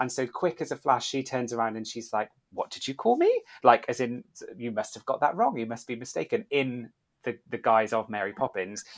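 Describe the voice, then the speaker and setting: In a dry, close recording with no echo, a man with an English accent talks at a fairly quick pace. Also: medium pitch for a man, ordinary pitch variation. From UK. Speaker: podcast host, former theme park worker. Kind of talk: casual chat.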